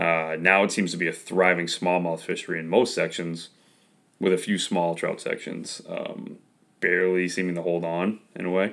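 The pace is moderate. The intonation stays monotone and flat. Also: man, very deep, low pitch for a man. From Maine. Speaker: podcast host. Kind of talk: interview, casual chat.

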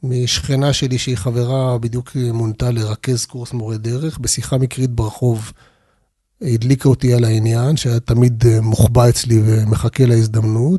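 Dry and close with no echo, a man's somewhat breathy voice sits at a medium pitch, with a dark, mellow tone, fairly even intonation and a moderate pace. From Israel, Arad (Negev desert). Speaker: tour guide and finance executive. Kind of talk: interview.

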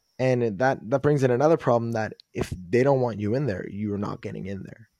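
A man's medium-pitched, dark, mellow voice at a fairly quick pace, with ordinary pitch variation, on a very clean recording with a silent background. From Quebec, Montreal. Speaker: recovering addict. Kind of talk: interview testimony. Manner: upbeat.

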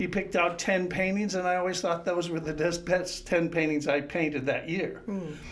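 A high-pitched male voice with fairly even intonation and hardly any pauses, over noticeable background noise. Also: moderate pace. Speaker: painter and art teacher. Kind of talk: interview conversation.

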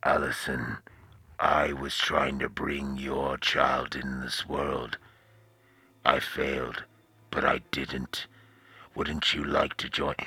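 A man's put-on character voice, raspy and very deep, at a very slow pace with long, frequent pauses. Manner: creepy, menacing, speaking monologue.

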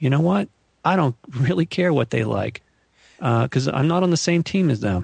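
A man speaks with vocal fry, an American accent and lively intonation, recorded with a dry, close sound and no echo. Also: fairly high pitch for a man, moderate pace, very even loudness. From US West Coast, Malibu, California. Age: 50s. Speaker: UFO researcher and author. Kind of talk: interview conversation.

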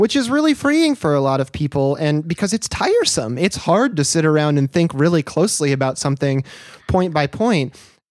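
The speaker has an American accent and keeps a moderate pace. Background noise is noticeable throughout. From US upper Midwest. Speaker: podcast host. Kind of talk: casual chat.

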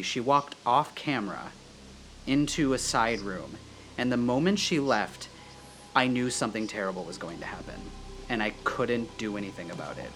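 A man at a medium pitch, talking at a fairly quick pace with lively intonation, music in the background. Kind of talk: casual chat.

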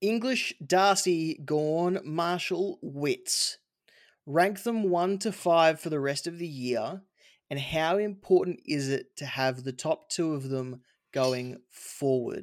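Speaking very slowly, a man with an Australian accent uses a high pitch and lively intonation. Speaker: fantasy football podcast host. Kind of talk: casual chat.

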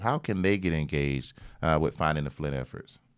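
A man with lively intonation, on a very clean recording with a silent background. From southwest Georgia (Albany). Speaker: podcast host, business alliance executive. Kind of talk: interview podcast. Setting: office.

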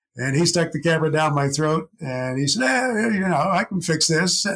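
With lively intonation, a man's high voice cuts through noticeable background noise. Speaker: agriculture radio broadcaster. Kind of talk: casual chat.

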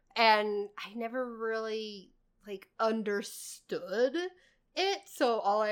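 In a normal speaking voice, a woman with a fairly high pitch shows fairly even intonation but big swings in loudness. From Indiana (Lafayette area). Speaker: podcast host and barista. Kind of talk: casual chat. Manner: giggly, laughs often.

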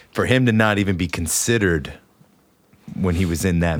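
A man with an American accent and lively intonation over noticeable background noise. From West Virginia. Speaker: podcast co-host and musician. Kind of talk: casual chat. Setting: studio.

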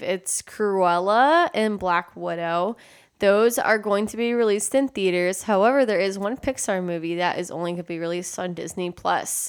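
A woman with an American accent and an ordinary speaking voice talks at medium pitch and a moderate pace, with ordinary pitch variation, hardly any pauses and a very clean recording with a silent background. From Texas. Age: 20s. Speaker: podcast co-host. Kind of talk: casual chat.

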